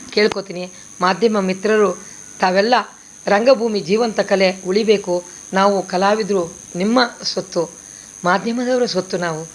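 Over noticeable background noise, a woman speaks in a medium pitch with fairly even intonation. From northern Karnataka (raised in Basavana Bagewadi; born Chamarajanagar). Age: 60s. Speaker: stage and television actress. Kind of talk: press statement.

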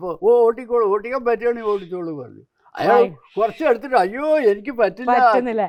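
A man with an extremely high pitch, ordinary pitch variation and big swings in loudness. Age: 80s+. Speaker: taxi driver. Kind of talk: interview answer.

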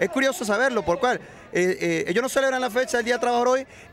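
A man speaks in a high pitch with ordinary pitch variation, the sound dry with no echo over light background noise. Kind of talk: interview answer. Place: street. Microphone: handheld.

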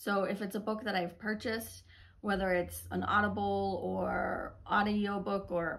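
The speech moves at a moderate pace. Its intonation is fairly even. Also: woman. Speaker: book reviewer. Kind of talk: casual vlog chat. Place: home room. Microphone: phone near.

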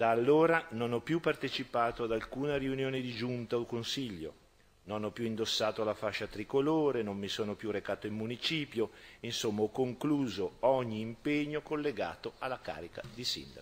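A man's medium pitch shows ordinary pitch variation as he talks at a moderate pace. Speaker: regional health councillor answering. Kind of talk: formal parliamentary reply. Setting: regional council chamber. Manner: formal, defensive. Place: hall. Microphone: podium.

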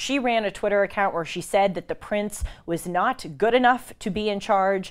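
Her delivery moves at a moderate speed, and her pitch rises and falls in an ordinary way. Nothing can be heard behind the woman. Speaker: show host. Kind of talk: news commentary. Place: studio. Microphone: lapel.

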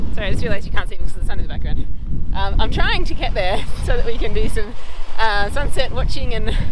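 A woman races along at a very fast pace, the sound dry with no echo and noticeable background noise behind her. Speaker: travel vlogger. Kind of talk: casual vlog chat. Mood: cheerful, slightly hurried. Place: beach. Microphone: phone near.

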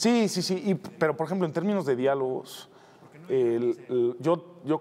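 Lively intonation colors a man's dark, mellow tone. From Mexico City. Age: 50s. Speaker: TV producer. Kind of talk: interview. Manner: hesitant, many fillers.

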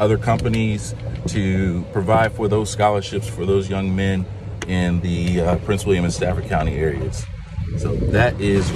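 With music in the background, a man talks at a moderate pace with ordinary pitch variation, the sound dry with no echo. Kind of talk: interview answer. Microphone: phone near.

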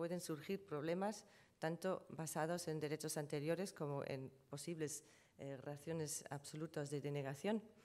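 Speaking fairly slowly with a German accent, a woman has a very deep, low voice. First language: German (speaking Spanish). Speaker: trademark lawyer. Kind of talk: conference presentation. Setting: conference panel with audience. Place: hall. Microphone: podium.

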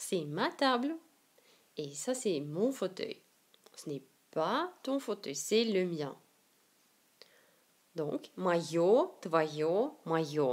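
Speaking very slowly, a woman at a medium pitch lets her voice swing very widely up and down. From Siberia, Russia. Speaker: Russian language teacher. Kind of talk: language lesson to camera.

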